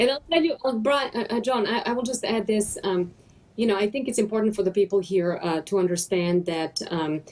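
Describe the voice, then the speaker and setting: A woman speaks at medium pitch with a non-native accent. Her intonation is lively and her pace fairly quick. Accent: foreign. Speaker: businesswoman. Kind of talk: panel conversation. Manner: halting.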